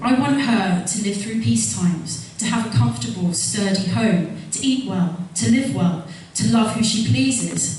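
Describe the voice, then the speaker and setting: Room echo is audible, and background noise is noticeable. A woman talks at a moderate pace with very wide pitch swings and hardly any pauses. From London, Wimbledon. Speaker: parliamentary candidate. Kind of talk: campaign speech. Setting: stage with audience.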